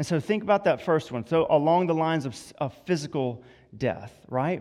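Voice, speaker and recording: A man speaks in a Southern US accent at a fairly high pitch and a moderate pace. The recording is very clean, with a silent background. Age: 30s. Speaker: campus minister. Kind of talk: sermon. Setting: church.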